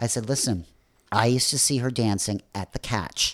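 A man with an American accent and an unremarkable speaking voice talks at a moderate pace and medium pitch with ordinary pitch variation on a very clean recording with a silent background. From US Midwest, Chicago north shore. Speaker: club promoter and film producer. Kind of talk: casual interview.

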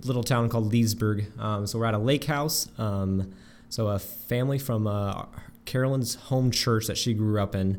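A man with an ordinary speaking voice, fairly low in pitch, at a moderate pace with fairly even intonation. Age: 20s. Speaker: homeschool graduate. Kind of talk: casual chat. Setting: shared room, one mic passed around.

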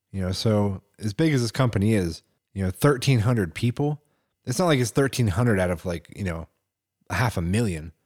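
A man's fairly low voice with an American accent, fairly quick and animated, lively in intonation, in a dry, close sound with no echo and a very clean recording over a silent background. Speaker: podcast co-host. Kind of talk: casual chat. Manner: animated, laughs often.

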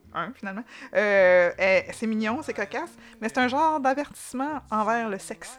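The speaker has a Quebec accent and lively intonation. The pace is moderate. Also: woman, fairly high pitch for a woman. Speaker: podcast co-host. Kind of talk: casual chat.

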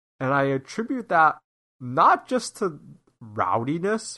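Against a quiet background, a bright, sharp voice speaks with an American accent and ordinary pitch variation. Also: man. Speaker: podcast host. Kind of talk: casual chat.

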